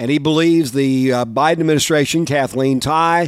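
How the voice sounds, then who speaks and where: At a moderate pace, a man talks in a plain, everyday voice, fairly high in pitch with ordinary pitch variation. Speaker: farm news radio host. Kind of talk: news reading.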